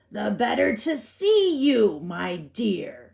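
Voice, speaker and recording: A female-sounding, put-on character voice, growling at a fairly high pitch and a very slow pace. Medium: read story. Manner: smooth and ingratiating.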